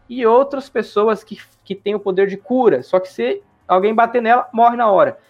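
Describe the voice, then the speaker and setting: With music in the background, a man speaks at a high pitch and a moderate pace. His intonation is fairly even, but his loudness swings a lot. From Brazil, interior of Mato Grosso (Juara). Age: 20s. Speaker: gaming YouTuber. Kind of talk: casual interview. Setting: live stream.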